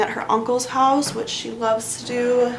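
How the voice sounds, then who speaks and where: Soft-spoken and monotone with flat intonation, the voice comes through noticeable background noise and audible room echo. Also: woman. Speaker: beauty vlogger. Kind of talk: casual chat.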